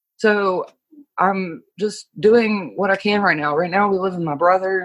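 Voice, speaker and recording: A woman speaks in an American accent at a medium pitch. Her intonation stays fairly even. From US East Coast, rural small town. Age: 20s. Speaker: guest sharing life story. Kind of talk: personal testimony. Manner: halting, many fillers.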